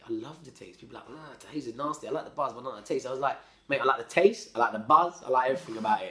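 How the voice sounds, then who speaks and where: Over noticeable background noise, a man with a fairly high voice rushes at a very fast pace, showing ordinary pitch variation and big swings in loudness. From London, England. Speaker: former criminal turned hospitality worker. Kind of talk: casual life-story interview. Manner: casual, slangy, repeats words when searching.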